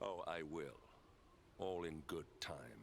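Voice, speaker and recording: A man puts on a character voice. Clear background noise sits behind him. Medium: video game.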